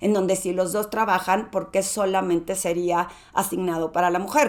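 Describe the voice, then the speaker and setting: This woman talks at a moderate pace and a medium pitch. Her delivery is monotone and flat. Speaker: podcast host, executive presence coach. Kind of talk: podcast monologue. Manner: moderate volume.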